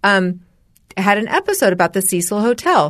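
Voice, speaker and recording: In an American accent, a woman speaks at a moderate pace and medium pitch with an unremarkable speaking voice. The background is quiet. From US West (Los Angeles and Spokane, Washington). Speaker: podcast co-host. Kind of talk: casual chat.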